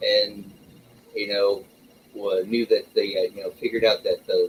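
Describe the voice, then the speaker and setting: At a moderate pace, a man speaks in a Southern US accent. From US South, rural Arkansas. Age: 50s. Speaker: livestream host. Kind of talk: casual chat.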